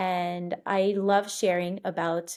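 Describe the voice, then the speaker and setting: Against a silent background in a very clean recording, a woman speaks with monotone, flat intonation. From Montreal, Quebec and Florida. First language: French. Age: 30s. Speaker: podcast host. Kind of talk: podcast monologue. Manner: casual, with frequent fillers.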